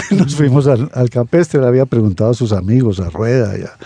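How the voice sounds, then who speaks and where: With ordinary pitch variation, a man speaks over noticeable background noise. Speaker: writer and sociologist. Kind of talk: radio interview, casual chat.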